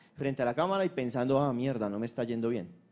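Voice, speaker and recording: Behind this man's speech, the background stays quiet. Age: 50s. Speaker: conference speaker. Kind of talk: conference talk. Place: hall. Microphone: handheld.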